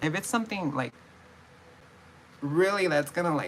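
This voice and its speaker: Noticeable background noise runs through the clip. A woman talks with lively intonation over it. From California. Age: 20s. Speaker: vlogger. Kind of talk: casual vlog monologue. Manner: mumbling; halting, repetitive.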